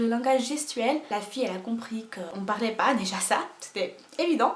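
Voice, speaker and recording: Over noticeable background noise, a woman speaks at a moderate pace in an animated tone with lively intonation. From Portugal. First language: Portuguese (speaking French). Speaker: YouTuber. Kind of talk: casual vlog storytelling. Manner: animated, hesitant with fillers.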